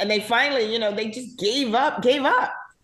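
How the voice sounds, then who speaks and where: With audible room echo and noticeable background noise, a woman with a fairly high voice speaks at a moderate pace. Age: 60s. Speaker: casting director. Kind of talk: interview. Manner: animated.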